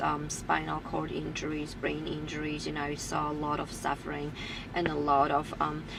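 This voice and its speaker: A woman with a Polish accent at a fairly slow pace, with audible room echo and noticeable background noise. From Poland. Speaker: personal trainer. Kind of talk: personal story monologue. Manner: halting, many fillers.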